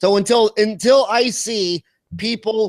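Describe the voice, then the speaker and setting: With an American accent and an animated tone, a man speaks in a dry, close sound with no echo. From Kansas, US. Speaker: dentist and dental business founder. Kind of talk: podcast interview.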